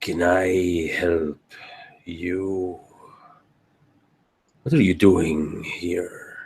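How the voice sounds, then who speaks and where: A put-on character voice, raspy and at a very slow pace, comes with long, frequent pauses. Its intonation stays fairly even. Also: man, very deep, low pitch for a man. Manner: very serious, confrontational.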